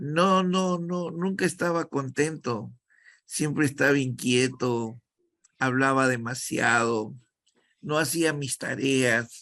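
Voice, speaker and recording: A man with a Peruvian accent, very slow, bright and sharp in tone, against a quiet background. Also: fairly high pitch for a man, ordinary pitch variation. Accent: Peruvian Spanish (Lima). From Peru, Callao. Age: 70s. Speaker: actor and acting teacher. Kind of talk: interview.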